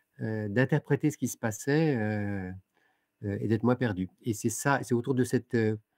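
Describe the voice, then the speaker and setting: A man speaks at a fairly slow pace, his voice sounding dry and close with no echo. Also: medium pitch for a man, ordinary pitch variation. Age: 60s. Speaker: author and lecturer. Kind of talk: interview. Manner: halting, many hesitations.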